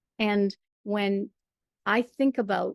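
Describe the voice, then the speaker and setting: A woman talks at a medium pitch, her pitch varying in an ordinary way, in a dry, close sound with no echo. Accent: Michigan. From Michigan. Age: 60s. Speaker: storyteller and performer. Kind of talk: interview.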